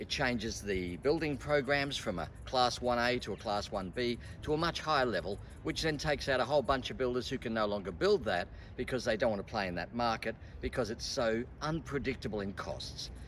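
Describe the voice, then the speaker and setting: Over light background noise, a man talks at a fairly quick pace with vocal fry and lively intonation. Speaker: presenter. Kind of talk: presentation to camera. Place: street.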